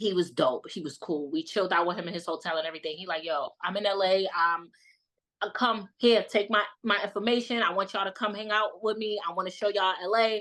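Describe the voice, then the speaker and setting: Bright and sharp in tone, a woman with a New York accent speaks at a very fast pace. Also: medium pitch for a woman, ordinary pitch variation. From Brooklyn, New York. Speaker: content creator. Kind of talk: casual chat.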